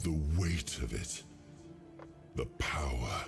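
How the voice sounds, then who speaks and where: A put-on character voice speaks in a solemn tone over clear background music. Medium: video game. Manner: solemn, measured.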